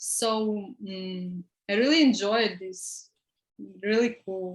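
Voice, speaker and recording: A woman with an Eastern European accent talks at a very slow pace, her pitch medium and its variation ordinary. Long, frequent pauses break up her speech, and her loudness swings a lot. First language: Russian or Ukrainian. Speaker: student. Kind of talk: testimony. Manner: halting.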